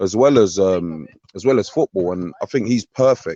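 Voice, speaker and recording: A man with a London accent, fairly low in pitch, at a moderate pace. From North London (Tottenham). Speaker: former footballer, now coach. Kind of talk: interview.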